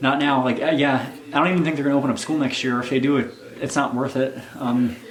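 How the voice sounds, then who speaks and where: A man talks at a very fast pace with medium pitch and monotone, flat intonation. Noticeable background noise runs underneath. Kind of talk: casual talk to camera.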